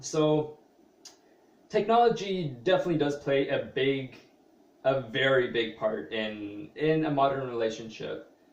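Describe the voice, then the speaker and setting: The speech comes at a fairly slow pace with lively intonation. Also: man. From Canada (Toronto area). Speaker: vlogger, small business owner. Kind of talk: personal vlog monologue. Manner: hesitant, many fillers.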